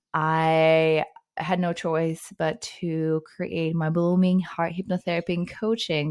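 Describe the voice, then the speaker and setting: A woman with a Russian accent speaks at a fairly low pitch. The recording is very clean, with a silent background. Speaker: psychotherapist. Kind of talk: podcast interview.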